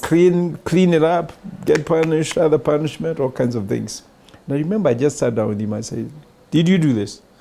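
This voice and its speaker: Speaking at a fairly quick pace with lively intonation, a man with a Kenyan accent has a fairly high yet dark, mellow voice. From rural Kenya. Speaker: bank CEO. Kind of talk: interview answer.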